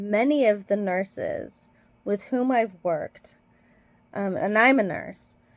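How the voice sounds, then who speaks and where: This voice has an American accent and a very slow pace. Its pitch variation is ordinary. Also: woman, medium pitch for a woman. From Britain. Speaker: nurse. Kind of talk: casual vlog commentary. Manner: hesitant, many fillers.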